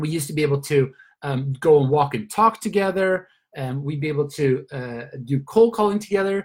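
With a Swedish accent, a man with a fairly high pitch speaks in an enthusiastic tone at a fairly quick pace, his voice somewhat breathy and his intonation lively. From Sweden. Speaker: network marketing leader. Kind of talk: motivational training call.

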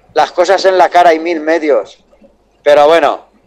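A man speaks with a fairly high pitch. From Valencia, Spain. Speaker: truck driver calling a radio show. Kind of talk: phone-in call.

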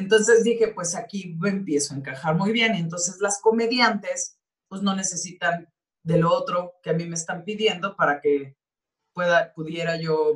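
Somewhat breathy, a woman with a Mexican accent speaks at a fairly slow pace and a fairly low pitch, with ordinary pitch variation. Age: 40s. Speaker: actress. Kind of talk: interview.

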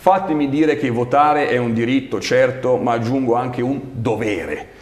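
Someone speaks at a moderate pace amid noticeable background noise and audible room echo. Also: man. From Milan, northern Italy. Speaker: local politician, regional election candidate. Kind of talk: interview. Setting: studio.

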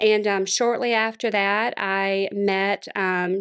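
A woman with a Louisiana accent, medium pitch and fairly even intonation, on a very clean recording with a silent background. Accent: Southern US (Louisiana). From Louisiana, Monroe. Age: 40s. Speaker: former pastor's wife and church planter. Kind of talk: interview testimony.

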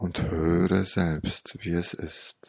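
At a very slow pace, a man speaks in a gentle, calm tone with a very deep, low pitch, the sound dry and close with no echo. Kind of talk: guided meditation with hypnotic story. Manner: slow, soft, calm and soothing with long pauses; gentle, dreamy, even and hypnotic cadence.

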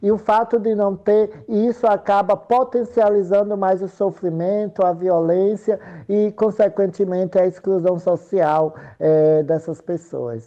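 This woman has a normal speaking voice at medium pitch, with ordinary pitch variation. She speaks at a fairly slow pace and at very even loudness. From Sergipe, Brazil. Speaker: political candidate and activist. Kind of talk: interview.

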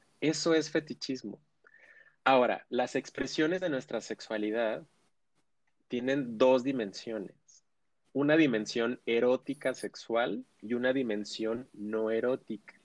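Speaking at a medium pitch with ordinary variation, a man goes at a fairly slow pace with long, frequent pauses, in a dry, close sound with no echo. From Mexico, Ciudad Juárez. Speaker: sexologist. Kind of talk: expert interview.

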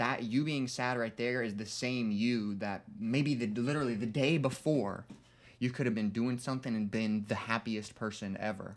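Fairly even in intonation, a man with an unremarkable speaking voice talks at a medium pitch and a moderate pace. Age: 20s. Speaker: podcast co-host. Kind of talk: casual chat. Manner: casual, filler-heavy.

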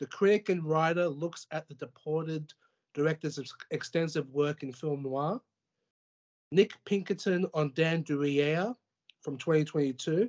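With an Australian accent, a man talks at a fairly slow pace in a fairly high pitch, using ordinary pitch variation and long, frequent pauses.

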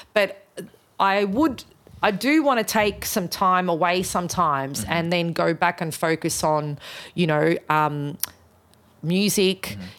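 Speaking with an Australian accent, a woman with a fairly low pitch goes at a fairly slow pace with lively intonation in a very clean recording with a silent background. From Australia, Melbourne. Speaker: musician and event organiser. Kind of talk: casual interview.

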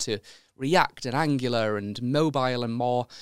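With a Yorkshire accent, a man speaks on a very clean recording with a silent background. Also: dry, close sound with no echo. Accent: Yorkshire, slightly milder. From York, England. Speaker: podcast host. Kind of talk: interview with ad read.

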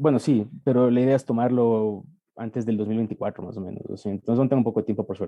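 A man at a very fast pace, his intonation fairly even. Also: medium pitch for a man. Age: 30s. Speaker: medical student. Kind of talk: interview testimony.

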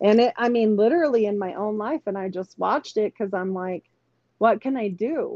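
In an ordinary speaking voice, a woman talks at a fairly quick pace with fairly high pitch and ordinary pitch variation. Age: 40s. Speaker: podcaster and registered nurse. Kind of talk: casual chat.

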